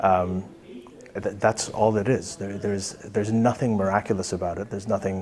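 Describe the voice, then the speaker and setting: Over light background noise, a man speaks at a moderate pace in a fairly low, monotone voice with flat intonation. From grew up in Libya, Saudi Arabia and Pakistan. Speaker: author; interviewee. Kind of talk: interview. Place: office.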